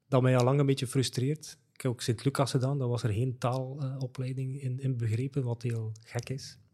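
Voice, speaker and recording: Somewhat breathy and dark, mellow in tone, a man speaks at a medium pitch and moderate pace with monotone, flat intonation, on a very clean recording with a silent background. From West Flanders, Belgium (Lauwe, Wevelgem). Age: 50s. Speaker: e-commerce strategy consultant. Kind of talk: casual interview chat. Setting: studio.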